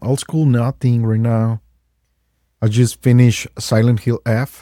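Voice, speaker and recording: A man with a Mexican accent talks at a fairly slow pace in a dark, mellow tone, his medium pitch held in a monotone, flat delivery, with a dry, close sound that has no echo. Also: very clean recording, silent background. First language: Spanish. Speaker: game store owner, guest. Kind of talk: casual chat. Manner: halting.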